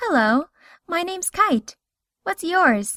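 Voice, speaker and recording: A squeaky, put-on character voice moves slowly with very wide pitch swings. The sound is dry and close, with no echo. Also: woman. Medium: cartoon. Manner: warm, gentle.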